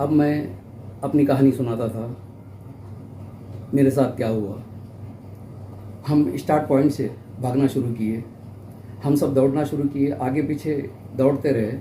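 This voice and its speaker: A man at medium pitch talks with fairly even intonation and long, frequent pauses. His somewhat breathy voice has a dark, mellow tone, and the room echo is audible. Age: 60s. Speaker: elderly marathon participant, vlogger. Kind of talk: personal account to camera.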